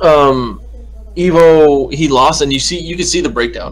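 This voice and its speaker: A man's voice with audible room echo. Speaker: esports commentator. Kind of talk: casual chat.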